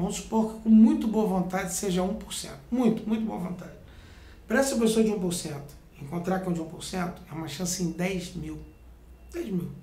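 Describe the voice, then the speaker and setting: With audible room echo, a man speaks at a high pitch and a moderate pace, showing ordinary pitch variation and big swings in loudness. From Brazil, Rio de Janeiro (born in Rio Grande do Sul). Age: 40s. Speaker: martial arts master. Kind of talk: interview monologue, instructional.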